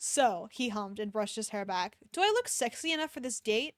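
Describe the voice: The text is read aloud plainly. Its intonation rises and falls in a lively way.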